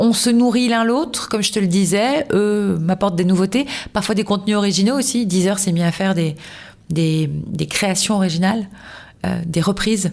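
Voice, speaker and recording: The delivery is animated and very even in loudness, moving at a moderate pace with ordinary pitch variation. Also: woman, medium pitch for a woman. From southern France, Toulouse. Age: 40s. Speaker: radio host. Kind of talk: casual interview. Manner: animated, many fillers.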